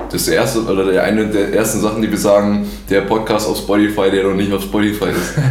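A man talks with a fairly low pitch in a monotone, flat intonation. His loudness stays very even, and there is noticeable background noise. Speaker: podcast host. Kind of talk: casual chat. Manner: stuttering.

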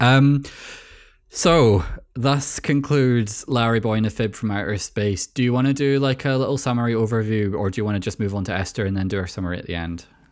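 With a Scottish accent, the speaker talks at a fairly quick pace in a very clean recording with a silent background. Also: man, medium pitch for a man, ordinary pitch variation. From Scotland. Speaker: podcast host. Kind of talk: casual chat.

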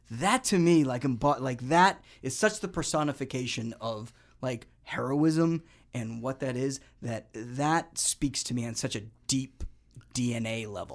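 A man with an unremarkable speaking voice talks at medium pitch and a fairly slow pace, with ordinary pitch variation. The recording is very clean, with a silent background. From New England, Boston. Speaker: actor and army public affairs soldier. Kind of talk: casual chat.

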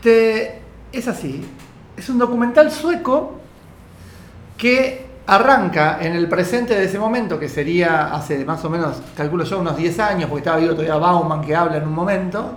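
The speaker talks at a moderate pace in a Rioplatense accent. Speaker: radio podcast co-host. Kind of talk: casual chat.

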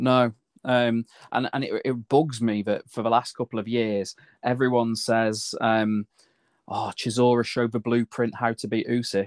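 Man with a British accent, medium pitch and monotone, flat intonation at a moderate pace, in a dry, close sound with no echo and a quiet background. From UK. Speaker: boxing podcast co-host. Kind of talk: casual chat.

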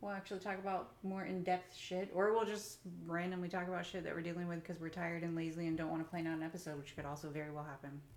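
Very fast and with hardly any pauses, a woman speaks at a fairly low pitch. Her intonation is fairly even, and the room echo is audible. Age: 30s. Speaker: podcast host and business owner. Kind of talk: casual chat. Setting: at home.

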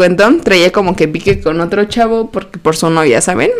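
Noticeable background noise accompanies a woman speaking. Her pace is fairly quick, with ordinary pitch variation. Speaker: podcast co-host. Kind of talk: casual chat.

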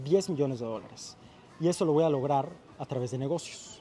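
A plain, everyday voice from a man, fairly high-pitched, moving at a moderate pace with ordinary pitch variation. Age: 20s. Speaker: YouTube content creator and entrepreneur. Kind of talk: casual chat.

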